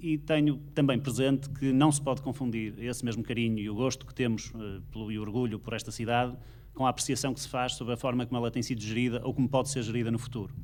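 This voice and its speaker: Using fairly even intonation, a man of medium pitch talks at a very fast pace with hardly any pauses. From Braga, northern Portugal. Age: 40s. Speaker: mayoral candidate. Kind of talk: political debate. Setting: auditorium with audience, broadcast on radio. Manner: formal.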